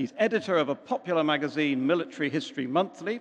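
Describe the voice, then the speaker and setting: The man talks at a very fast pace, and the background stays quiet. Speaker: speaker. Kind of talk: formal introduction to audience. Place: church.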